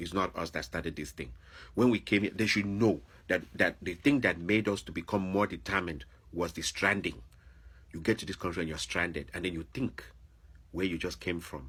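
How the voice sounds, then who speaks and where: In a very clean recording with a silent background, a man with a Nigerian accent and a very deep, low pitch speaks at a fairly quick pace in an animated tone, with vocal fry and lively intonation. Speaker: vlogger, former teacher. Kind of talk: opinion monologue.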